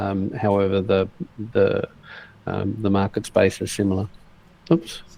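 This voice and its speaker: In an Australian accent, a man with a fairly low pitch and a dark, mellow tone speaks at a fairly slow pace, using ordinary pitch variation and long, frequent pauses. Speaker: online entrepreneur. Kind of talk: casual chat. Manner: halting.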